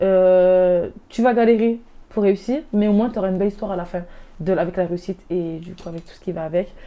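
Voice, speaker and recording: A woman's medium-pitched voice with ordinary pitch variation and big swings in loudness. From Nîmes, southern France. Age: 20s. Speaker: apprenticeship graduate sharing her story. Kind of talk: interview testimony. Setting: web TV studio interview. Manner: fast; hesitant, many fillers.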